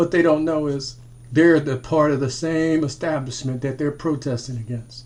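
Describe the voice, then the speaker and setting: A man speaks at a moderate pace with a fairly high pitch and a somewhat breathy voice. His intonation stays fairly even. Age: 60s. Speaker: military veteran and commentator. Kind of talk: monologue commentary video. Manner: repetitive, halting restarts.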